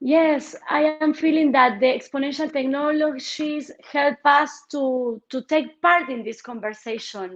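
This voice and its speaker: The speaker has a Spanish accent and ordinary pitch variation. The pace is fairly slow, with hardly any pauses. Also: woman, high pitch for a woman. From Argentina. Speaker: politician. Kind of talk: interview. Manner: halting, with many repetitions.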